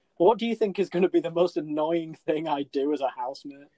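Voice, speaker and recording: A man with an English accent speaks at a high pitch and a fairly quick pace. His tone is dark and mellow, with a dry, close sound and no echo. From England. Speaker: podcast co-host. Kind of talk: casual chat. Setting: remote call.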